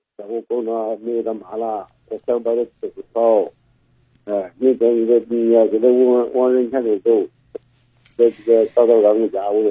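Moving at a moderate pace, a man speaks with monotone, flat intonation. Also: long, frequent pauses. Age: 60s. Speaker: caller, father seeking advice. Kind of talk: call-in advice conversation. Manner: halting, repetitive.

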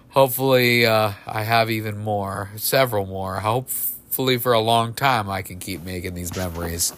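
A man with an American accent, fairly low in pitch, at a moderate pace with hardly any pauses, ordinary pitch variation and big swings in loudness, over noticeable background noise. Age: 40s. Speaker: sports podcast host. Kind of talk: casual monologue.

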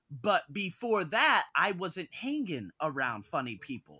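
In a very clean recording with a silent background, a man with an American accent and vocal fry speaks in a bright, sharp tone with very wide pitch swings. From US, North Las Vegas. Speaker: podcast host, personal development coach. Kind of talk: podcast interview. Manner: animated.

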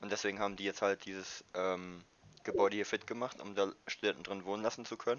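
His speech races by, pitched fairly low for a man. The delivery stays flat and monotone throughout. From northern Germany, Wildeshausen. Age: 20s. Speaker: university student. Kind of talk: casual chat.

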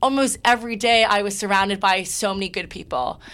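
In a Canadian accent, a woman with a plain, everyday voice talks at a fairly quick pace, medium pitch and ordinary pitch variation. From Toronto, Canada. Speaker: university recruitment staff, former student leader. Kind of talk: casual interview.

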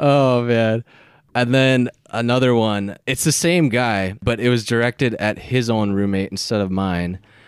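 An unremarkable speaking voice belongs to this man with an American accent. He talks at a fairly slow pace, with ordinary pitch variation and very even loudness. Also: medium pitch for a man. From Minnesota. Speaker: podcast guest. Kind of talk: casual chat.

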